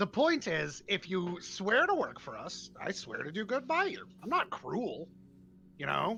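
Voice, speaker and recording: A put-on character voice, pitched fairly high and gravelly. It moves at a moderate pace. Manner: curt, abrupt, blunt.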